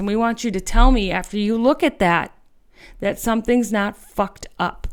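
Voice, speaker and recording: A woman with an American accent speaks in an animated tone. The recording is very clean, with a silent background. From US Midwest. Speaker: political podcast host. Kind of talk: political commentary podcast.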